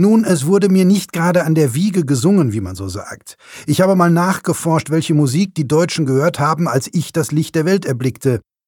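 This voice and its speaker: An ordinary speaking voice from a man, fairly high-pitched and lively in intonation, moderate pace, very clean recording with a silent background. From Ruhr area, Germany (Bochum). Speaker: author. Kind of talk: reading aloud.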